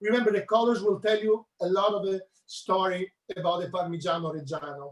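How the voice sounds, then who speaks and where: At a high pitch with ordinary pitch variation, a man speaks in a strong Italian accent. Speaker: chef. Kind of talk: cooking demonstration.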